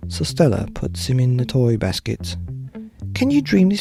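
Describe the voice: The speaker offers plain reading aloud.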